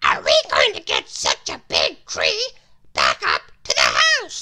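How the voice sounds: Squeaky and extremely high, this voice is a put-on character. The delivery is fairly slow.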